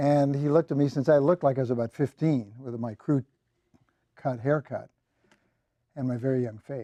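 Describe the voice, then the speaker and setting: With a dark, mellow tone and a dry, close sound with no echo, a man speaks at a medium pitch with ordinary pitch variation. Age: 70s. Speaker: toastmasters club speaker. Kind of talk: humorous prepared speech.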